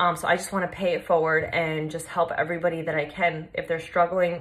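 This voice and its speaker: In a Long Island accent, a woman speaks at a moderate pace and a fairly low pitch. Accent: New York (Long Island) American. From Long Island, New York, US. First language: Polish. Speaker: fitness coach. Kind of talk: personal story vlog. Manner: casual, many fillers.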